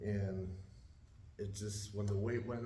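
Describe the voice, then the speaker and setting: A man's fairly low, monotone, flat voice at a moderate pace, amid noticeable background noise and audible room echo. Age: 60s. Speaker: weight loss group member. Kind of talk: testimony. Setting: church group meeting.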